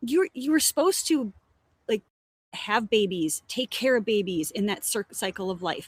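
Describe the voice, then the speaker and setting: A woman speaks in a fairly high, somewhat breathy voice with very wide pitch swings, recorded very cleanly against a silent background with a dry, close sound and no echo. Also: moderate pace. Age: 50s. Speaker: educator and company co-founder. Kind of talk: casual chat.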